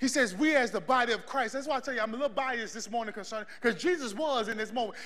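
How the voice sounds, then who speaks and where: Shouting in a raised, projected voice, a man hits an extremely high pitch with a bright, sharp tone. His delivery is animated, with lively intonation. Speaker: preacher. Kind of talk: sermon with live congregation call-and-response. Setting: church. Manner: loud, animated, exhorting the crowd to shout back; fervent, rhythmic, building in intensity. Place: church.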